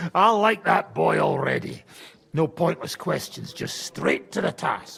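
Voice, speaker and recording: A man's put-on character voice, gruff and high-pitched, at a fairly slow pace. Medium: video game. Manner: coarse, gruff.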